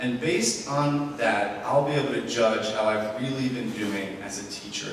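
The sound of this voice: Audible room echo around a man with fairly even intonation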